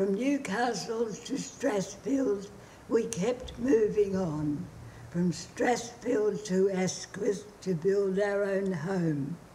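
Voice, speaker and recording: A woman with an Australian accent speaks very slowly with lively intonation. Light background noise can be heard. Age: 80s+. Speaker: mother reciting her poem. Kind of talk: poetry reading. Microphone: phone near.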